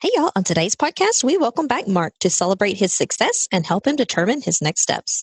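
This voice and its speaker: A woman with a Southern US accent speaks at a fairly high pitch, somewhat breathy, with very wide pitch swings and hardly any pauses. Her loudness stays very even, and the sound is dry and close with no echo. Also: fairly quick pace. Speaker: podcast co-host. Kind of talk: podcast intro.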